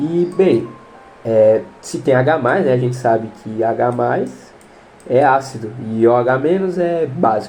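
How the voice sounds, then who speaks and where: The man talks at a very slow pace. Music plays in the background. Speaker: biology tutor for exam prep. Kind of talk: online lesson, exam question walkthrough. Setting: home recording. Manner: casual, conversational.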